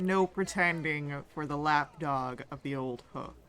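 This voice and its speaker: Someone growls through a put-on character voice at a fairly slow pace, pitched low-to-middle. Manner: menacing.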